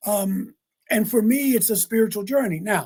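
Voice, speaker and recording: A man with an American accent speaks at a moderate pace. His tone is dark and mellow, his pitch high. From US Mid-Atlantic, Baltimore, Maryland. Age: 60s. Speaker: interfaith minister. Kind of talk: podcast interview. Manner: reflective, with frequent repetitions.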